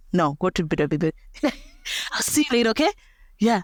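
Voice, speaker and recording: In a very clean recording with a silent background and a dry, close sound with no echo, a woman's voice makes very wide pitch swings. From Botswana. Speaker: social media dancer, mother. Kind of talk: interview.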